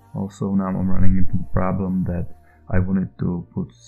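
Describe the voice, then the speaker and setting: Over music in the background, a man speaks at a moderate pace in a very deep, low pitch. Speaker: indie game developer. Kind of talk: devlog narration over screen footage. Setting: low-quality home microphone. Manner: hesitant, many filler sounds.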